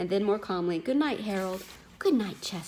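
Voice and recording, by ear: Lively intonation marks this reading aloud in a natural voice.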